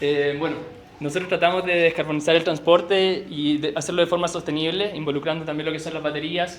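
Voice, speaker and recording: Against noticeable background noise, a man with a Chilean accent speaks fairly quickly in a fairly high pitch with monotone, flat intonation. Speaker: researcher presenting at a workshop. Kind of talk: presentation. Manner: fast; halting with self-corrections.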